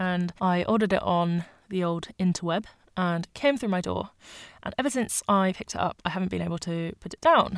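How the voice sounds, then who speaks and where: A woman with a British accent talks at a fairly quick pace, her pitch medium with ordinary variation. The sound is dry and close, with no echo. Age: 20s. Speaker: podcast host. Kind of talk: solo podcast monologue. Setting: home bedroom.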